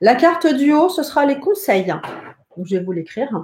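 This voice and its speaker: A woman's somewhat breathy voice swings very widely in pitch. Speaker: psychic and tarot teacher. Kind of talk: live-streamed tutorial. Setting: live stream from home.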